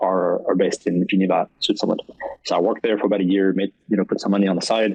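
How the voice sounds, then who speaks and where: A man talks at a very fast pace with a fairly low pitch. His intonation stays fairly even. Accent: French. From France, French Alps near Swiss border. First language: French. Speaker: esports partnership manager. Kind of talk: podcast interview. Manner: many fillers and restarts.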